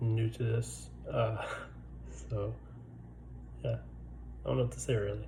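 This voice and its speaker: Noticeable noise sits in the background. The talking proceeds fairly slowly. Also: man. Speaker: military service member. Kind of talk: casual talk to camera.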